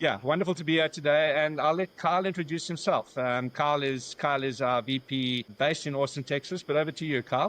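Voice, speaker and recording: In a South African accent, a man talks at a very fast pace in a fairly high voice with ordinary pitch variation. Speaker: business founder. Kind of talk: podcast interview. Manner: halting.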